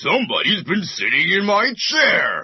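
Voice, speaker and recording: A man puts on a character voice with an extremely high pitch and delivers it at a fairly slow pace. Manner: crying out.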